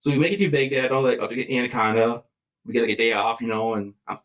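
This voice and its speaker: The speaker has an Upper Midwest accent. The delivery is very fast, with ordinary pitch variation. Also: man. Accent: Upper Midwest American. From Wisconsin, near Green Bay. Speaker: war veteran and firefighter. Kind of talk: interview answer. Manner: casual, conversational.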